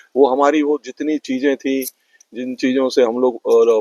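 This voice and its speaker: Recorded dry and close with no echo, a man with an unremarkable speaking voice talks at a moderate pace in a medium pitch. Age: 60s. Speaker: parent of podcaster. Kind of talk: interview.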